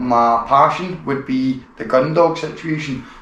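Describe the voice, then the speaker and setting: A man in a strong Glaswegian accent, fairly slow, with ordinary pitch variation, noticeable background noise and audible room echo. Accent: thick Glaswegian Scottish. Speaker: podcast host, gun dog enthusiast. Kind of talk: casual interview.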